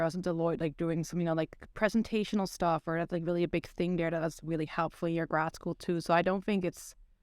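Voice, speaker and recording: In a Dutch accent, a woman with a fairly low pitch talks at a very fast pace, the sound dry and close with no echo. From Netherlands. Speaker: psychology PhD student. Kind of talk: podcast interview.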